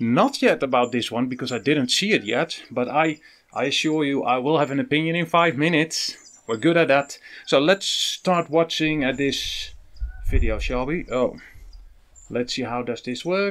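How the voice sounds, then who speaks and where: Spoken at a moderate pace with ordinary pitch variation, the voice comes in a Dutch accent. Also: man, fairly high pitch for a man. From Netherlands. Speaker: evangelist YouTuber reacting to a video. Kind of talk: reaction video commentary. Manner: halting, repeats words.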